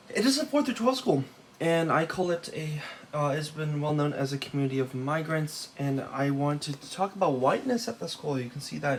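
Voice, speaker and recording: Moderate pace and ordinary pitch variation over noticeable background noise. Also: man. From Los Angeles, California, with time in Taiwan. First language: Taiwanese. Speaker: student. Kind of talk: class presentation. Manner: halting, many fillers.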